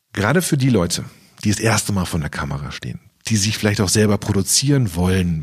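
A man's fairly low voice at a fairly quick pace, with lively intonation. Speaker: magician and YouTube video consultant. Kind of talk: interview. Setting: podcast. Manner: loud.

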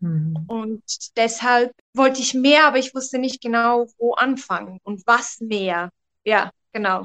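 Speaking at a fairly slow pace with long, frequent pauses, a woman uses a fairly high pitch and ordinary pitch variation in a dry, close sound with no echo. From Switzerland. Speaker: photographer. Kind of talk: interview testimony. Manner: hesitant with many fillers.

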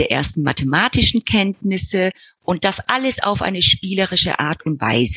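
A woman's fairly low voice with vocal fry swings very widely in pitch, in a dry, close sound with no echo. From Argentina. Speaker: preschool director and educator. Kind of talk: interview.

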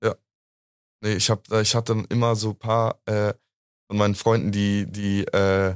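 In a dry, close sound with no echo on a very clean recording with a silent background, a man speaks at a fairly low pitch with monotone, flat intonation. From Munich, Bavaria. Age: 20s. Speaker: university student. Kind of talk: casual chat.

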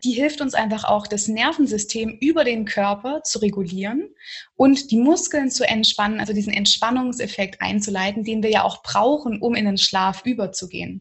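A woman with a somewhat breathy, fairly high voice speaks at a moderate pace with ordinary pitch variation. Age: 20s. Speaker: yoga teacher. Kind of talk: interview conversation.

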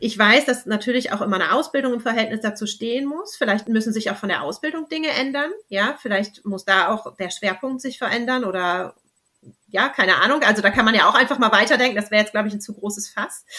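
A woman talks at a very fast pace with lively intonation. Her voice is fairly high, with a bright, sharp tone. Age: 30s. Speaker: babywearing consultant. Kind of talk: interview.

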